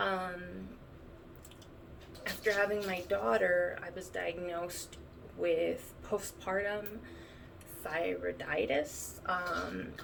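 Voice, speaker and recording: Amid noticeable background noise and audible room echo, a woman talks at a very slow pace with long, frequent pauses. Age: 30s. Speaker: vlogger sharing chronic illness experience. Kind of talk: personal testimony. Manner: halting, many fillers.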